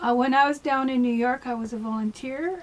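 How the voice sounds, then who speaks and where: With a Canadian accent, the speaker goes at a moderate pace over noticeable background noise. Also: woman. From Canada (Ontario). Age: 60s. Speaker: vlogger. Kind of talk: casual personal monologue. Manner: hesitant, many fillers.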